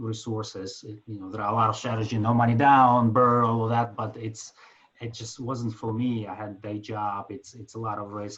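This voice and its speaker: A man with a Ukrainian accent speaks in a monotone, flat intonation. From Ukraine. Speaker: finance executive and passive investor. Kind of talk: self-introduction in an online group meeting. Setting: video call. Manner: halting, many fillers.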